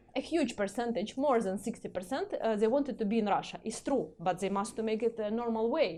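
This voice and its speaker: A woman with a Ukrainian accent talks at a fairly quick pace. Her fairly high voice has a dark, mellow tone and ordinary pitch variation. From Ukraine, Kyiv. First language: Russian. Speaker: community representative. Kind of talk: interview. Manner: halting, many fillers.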